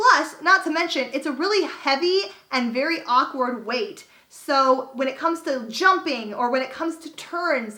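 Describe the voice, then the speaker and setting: With an American accent, a woman speaks in a raised, projected, high-pitched voice at a moderate pace. Her intonation is lively and her tone animated. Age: 20s. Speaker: YouTuber. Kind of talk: storytime vlog.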